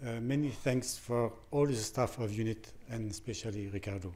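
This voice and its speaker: The speaker has a French accent. The intonation stays fairly even. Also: man. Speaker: prison doctor. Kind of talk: conference talk. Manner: halting.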